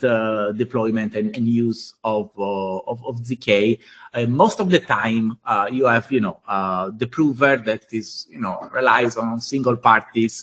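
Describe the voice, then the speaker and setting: Medium in pitch, a man's voice has a bright, sharp tone. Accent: Italian. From Italy. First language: Italian. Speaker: blockchain engineer. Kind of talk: technical workshop presentation. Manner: halting, many fillers.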